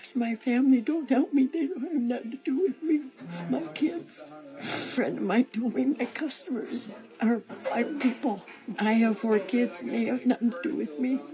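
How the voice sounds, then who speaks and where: Music plays in the background as a woman speaks at a moderate pace. Her high voice has lively intonation. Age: 70s. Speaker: elderly worker facing eviction. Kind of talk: street interview.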